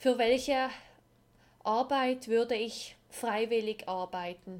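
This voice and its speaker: The woman's voice sits fairly high, with pitch that varies in an ordinary way. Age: 20s. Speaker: podcast host. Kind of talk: personal monologue.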